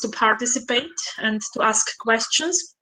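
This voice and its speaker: Speaking at a fairly slow pace, a woman uses a high pitch and a bright, sharp tone. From Austria. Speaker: conference participant, researcher. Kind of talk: closing remarks at online conference. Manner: halting, many fillers.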